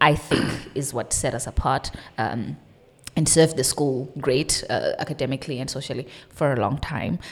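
Very deep and low in pitch, a woman speaks with fairly even intonation. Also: moderate pace. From South Africa. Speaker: data science entrepreneur. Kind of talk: casual chat.

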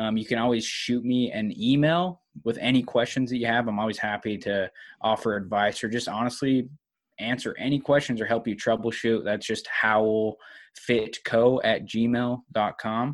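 A man speaks in an unremarkable speaking voice at a moderate pace with fairly even intonation against a quiet background. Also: medium pitch for a man. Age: 20s. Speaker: online fitness coach. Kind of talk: casual interview chat.

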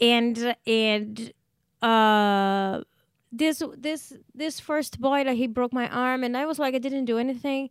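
A high-pitched woman in a Portuguese accent, very slow pace, fairly even intonation, very clean recording with a silent background. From Brazil. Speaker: stand-up comedian. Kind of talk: casual interview, storytelling.

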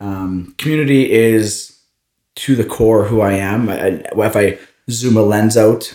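A man with a Canadian Prairies accent. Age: 30s. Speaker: entrepreneur and running coach. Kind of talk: interview. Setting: studio, in person.

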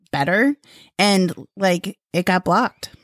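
A dry, close sound with no echo on a very clean recording with a silent background. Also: woman. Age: middle-aged. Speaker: podcast co-host. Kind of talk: casual chat. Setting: studio. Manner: animated.

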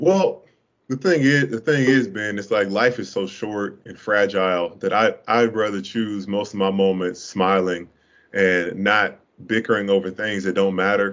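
A man with an American accent and a normal speaking voice talks at a moderate pace, his fairly low pitch showing ordinary variation. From Duval County (Jacksonville), Florida. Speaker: former college basketball player. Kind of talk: casual interview chat.

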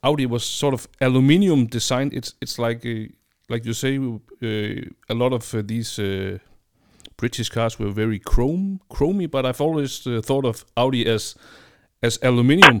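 Speaking with a Danish accent, a man keeps a medium pitch, ordinary pitch variation and a moderate pace in a very clean recording with a silent background. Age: 40s. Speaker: podcast host. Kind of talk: interview. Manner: halting.

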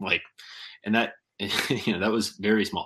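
Over a quiet background, a man with a Midwestern American accent speaks at a very fast pace in a bright, sharp tone. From Kansas. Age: 20s. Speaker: fishing YouTuber and tackle maker. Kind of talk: casual chat.

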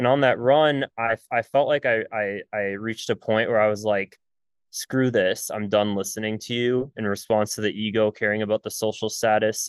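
An ordinary speaking voice, a man's at a fairly low pitch, moves at a moderate pace with fairly even intonation, recorded dry and close with no echo against a quiet background. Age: 20s. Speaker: entrepreneur, former medical student. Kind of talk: podcast interview.

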